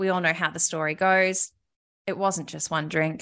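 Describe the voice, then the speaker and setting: A woman with an Australian accent and a bright, sharp tone. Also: quiet background. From Australia, Melbourne. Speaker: podcast host and recovery advocate. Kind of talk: casual interview, personal story.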